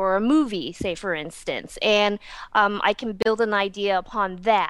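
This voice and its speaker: A woman with an American accent, medium pitch and ordinary pitch variation, in a very clean recording with a silent background. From Texas. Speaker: nail polish entrepreneur. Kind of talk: interview. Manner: hesitant, many fillers.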